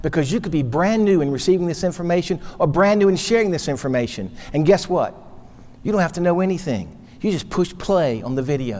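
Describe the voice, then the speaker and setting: Speaking at a very fast pace in an American accent, a man with a high-pitched voice sounds animated, his intonation lively. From North Carolina, Charlotte. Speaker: financial services speaker. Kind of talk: motivational sales talk. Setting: studio.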